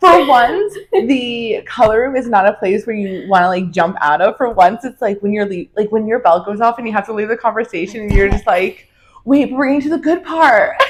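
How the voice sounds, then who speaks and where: A woman with an American accent speaks fairly quickly at a fairly high pitch, her intonation lively. Music plays in the background. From New Jersey. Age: 20s. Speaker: hairdresser and podcast co-host. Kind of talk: casual chat. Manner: loud.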